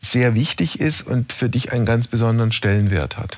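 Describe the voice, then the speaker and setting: In an ordinary speaking voice, a man talks at medium pitch with ordinary pitch variation. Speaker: radio host.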